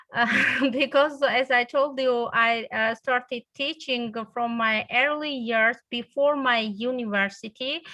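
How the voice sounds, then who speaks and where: Her tone bright and sharp, a woman speaks very slowly in a high pitch with fairly even intonation. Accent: Georgian. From Georgia. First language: Georgian. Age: 40s. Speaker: English teacher. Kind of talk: interview. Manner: halting, many fillers.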